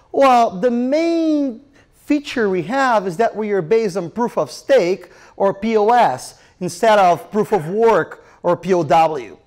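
A man is speaking. Behind him, the background is quiet. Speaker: presenter. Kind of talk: conference talk. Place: hall. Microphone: handheld.

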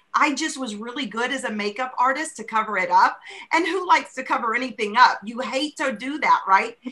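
Projecting her high voice with big swings in loudness, a woman talks fairly quickly with ordinary pitch variation. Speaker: customer. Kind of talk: testimony. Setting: video call. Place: home room. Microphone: video call.

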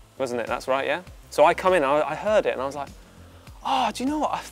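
Faint music plays behind a man talking at a very fast pace. His voice is high. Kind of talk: casual chat, anecdote. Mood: amused, laughing. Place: hall. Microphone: lapel.

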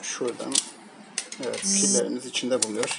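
Faint background noise sits behind a man whose voice shows vocal fry and little pitch movement.

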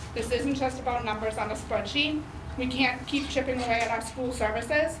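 The speech moves at a fairly quick pace with fairly even intonation. There is noticeable background noise and audible room echo. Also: woman. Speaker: parent speaking at public hearing. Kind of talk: public comment speech. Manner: fast.

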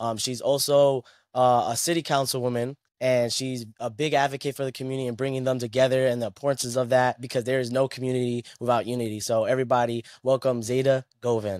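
A man with an American accent talks at a very fast pace in a monotone, flat intonation. The sound is dry with no echo, over a quiet background. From New England, US. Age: 20s. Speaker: podcast host. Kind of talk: interview. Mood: warm, supportive. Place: home room. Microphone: studio mic.

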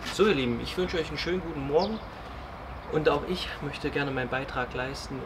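Background noise is noticeable behind a man. He speaks at a fairly quick pace. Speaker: school sports teacher. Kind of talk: exercise tutorial. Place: open country. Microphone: camera far.

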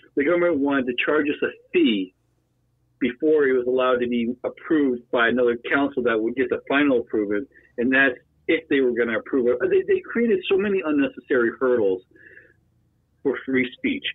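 An ordinary speaking voice from a man with an American accent, fairly high in pitch with ordinary pitch variation, moving at a fairly quick pace. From Pennsylvania. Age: 40s. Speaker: former Marine and wheelchair user. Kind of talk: casual chat.

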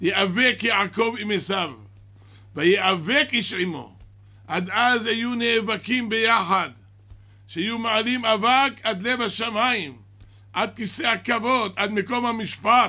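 A man's raised, projected voice, bright and sharp, at a very slow pace with long, frequent pauses and ordinary pitch variation. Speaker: rabbi teaching a class. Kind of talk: sermon. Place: church. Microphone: podium.

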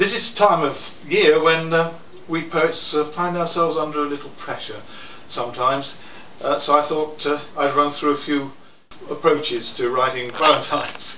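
A man's fairly high voice with fairly even intonation, audible room echo, and light background noise. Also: moderate pace. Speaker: poet. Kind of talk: introducing poems to a live audience. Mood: wry, good-humoured. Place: cafe.

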